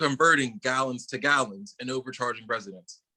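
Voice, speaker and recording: Bright and sharp in tone, a man with an American accent talks fairly quickly in a dry, close recording with no echo. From Braddock, Pennsylvania. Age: 20s. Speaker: local council candidate. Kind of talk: interview answer.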